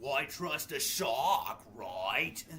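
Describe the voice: A put-on character voice from a man at a medium pitch, with clear background noise.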